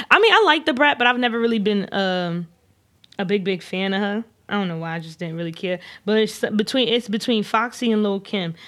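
In a very clean recording with a silent background, an ordinary speaking voice goes at a fairly quick pace with ordinary pitch variation. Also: woman, medium pitch for a woman. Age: 20s. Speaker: podcast guest and podcast co-host. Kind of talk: casual chat.

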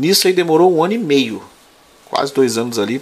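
He has an ordinary speaking voice, pitched fairly high for a man. He keeps a moderate pace with ordinary pitch variation. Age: 30s. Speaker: prison officer and exam-prep teacher. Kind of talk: casual chat.

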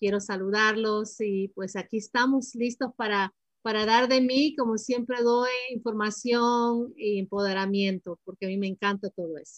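A woman speaks at a fairly slow pace in a fairly high, somewhat breathy voice. Her intonation is fairly even, and the sound is dry and close with no echo. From Ecuador, Guayaquil; moved to the US at seven. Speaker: financial planning advisor. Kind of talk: interview.

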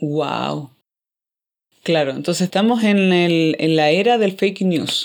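A woman with a Chilean accent speaks at a very slow pace, leaving long, frequent pauses and keeping her loudness very even, in a very clean recording with a silent background. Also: fairly low pitch for a woman, ordinary pitch variation. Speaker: podcast host. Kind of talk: casual chat.

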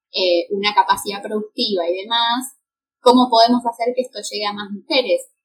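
A woman with a Rioplatense accent speaks at a fairly high pitch. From Argentina, Greater Buenos Aires. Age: 20s. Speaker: fashion designer. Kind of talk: casual interview chat.

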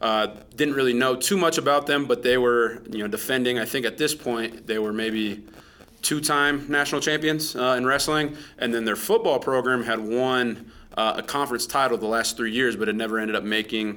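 A man talks in a plain, everyday voice at a medium pitch. His pace is moderate and his pitch variation ordinary. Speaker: high school wrestling coach. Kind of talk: interview.

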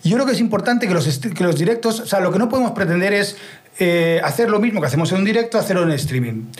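A man talks very fast at a high pitch, with lively intonation and an animated tone. Noticeable background noise and audible room echo surround him. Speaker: streaming expert and musician. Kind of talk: interview. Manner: halting.

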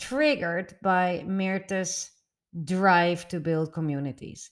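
Speaking at a very slow pace, a woman with a Dutch accent uses a medium pitch. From the Netherlands. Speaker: podcast host. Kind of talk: interview, podcast host. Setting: video call.

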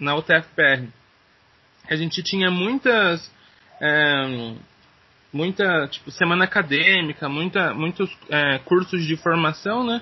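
The speech moves at a very slow pace with long, frequent pauses. Pitch variation is ordinary. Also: man, high pitch for a man. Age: 20s. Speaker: teacher and podcaster. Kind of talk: interview. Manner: halting.

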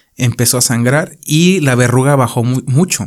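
An ordinary speaking voice from a man, medium in pitch with ordinary pitch variation. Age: 30s. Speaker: podcast host. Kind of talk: casual chat.

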